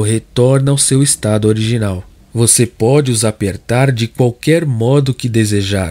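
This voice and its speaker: Talking at a fairly slow pace, a man has a medium pitch and a dark, mellow tone. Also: dry, close sound with no echo. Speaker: audiobook narrator and preacher. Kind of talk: sermon read aloud as audiobook narration, preacher in full flow. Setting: studio, recorded online video. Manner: impassioned, emphatic, pleading, direct address to the listener.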